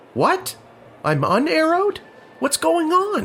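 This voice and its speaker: A put-on character voice, high and squeaky, moves at a fairly slow pace. Clear background noise runs underneath. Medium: video game. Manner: wry, fatherly.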